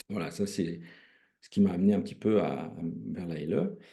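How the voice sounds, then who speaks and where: Over audible room echo, a man with a very deep, low pitch and a dark, mellow tone speaks at a moderate pace. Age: 60s. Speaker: retired railway worker and emotion practitioner. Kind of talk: testimony. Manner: halting, many hesitations.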